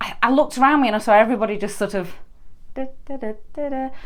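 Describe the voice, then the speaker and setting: A woman with a Yorkshire accent talks at a very fast pace. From northern England, Yorkshire. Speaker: permanent makeup artist and trainer. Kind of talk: solo podcast monologue.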